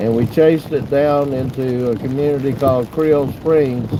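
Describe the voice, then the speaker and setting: With a Southern accent, a man talks at a fairly high pitch and fairly even intonation. Noticeable background noise runs underneath. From US South, Pensacola / Florida Panhandle. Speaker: storm chaser. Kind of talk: casual chat during live stream.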